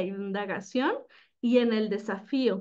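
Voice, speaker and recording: A woman's fairly high voice, very slow, with ordinary pitch variation and a quiet background. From Mexico. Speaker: teacher. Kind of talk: presentation. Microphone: video call.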